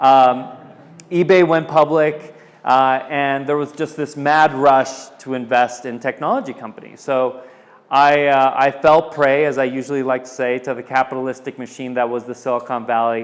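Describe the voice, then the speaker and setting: At a moderate pace, a man with a Californian accent speaks at a medium pitch and with fairly even intonation. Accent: Californian American English. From Southern California. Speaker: tech entrepreneur. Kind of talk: presentation. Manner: casual with many fillers.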